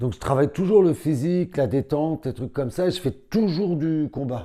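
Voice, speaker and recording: On a very clean recording with a silent background, a man with a fairly high voice and a dark, mellow tone speaks at a moderate pace. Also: ordinary pitch variation. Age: 60s. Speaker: karate champion and instructor. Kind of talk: interview. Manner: casual.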